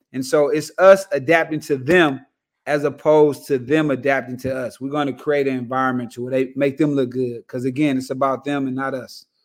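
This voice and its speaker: With an American accent, a man speaks in an unremarkable speaking voice at medium pitch, fairly quick and fairly even in intonation, on a very clean recording with a silent background. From Los Angeles, California. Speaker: basketball head coach. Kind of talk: casual chat.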